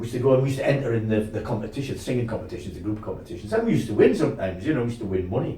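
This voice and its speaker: Audible room echo carries a man's voice at a medium pitch. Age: 70s. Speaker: folk singer. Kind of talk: casual chat. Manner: halting.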